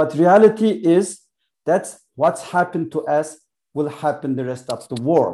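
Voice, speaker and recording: With a Xinjiang accent, a man talks in a dark, mellow tone at a fairly high pitch. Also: ordinary pitch variation, fairly slow pace. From East Turkestan. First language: Uyghur. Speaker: author and activist. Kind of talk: interview. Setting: video call. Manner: halting.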